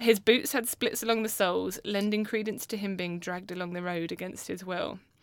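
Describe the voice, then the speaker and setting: With a British accent, a woman speaks at a fairly quick pace and a medium pitch with fairly even intonation, in a very clean recording over a silent background. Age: 30s. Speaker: podcast co-host. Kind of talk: storytelling. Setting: studio. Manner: swears a lot.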